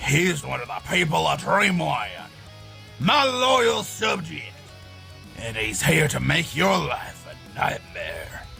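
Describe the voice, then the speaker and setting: With clear music in the background, a man puts on a character voice and speaks at a fairly slow pace. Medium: audio drama. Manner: brash, boastful, folksy.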